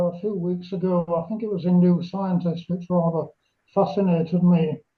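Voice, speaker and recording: A man talks with a British accent. His pitch is high. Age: 70s. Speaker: amateur radio club member. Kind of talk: question from audience.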